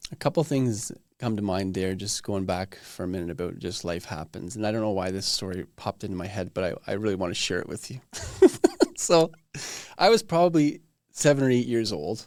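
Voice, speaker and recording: Delivered at a fairly quick pace with lively intonation, a normal speaking voice comes through on a very clean recording with a silent background. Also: man, fairly low pitch for a man. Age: 40s. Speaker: podcast host. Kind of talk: casual interview chat.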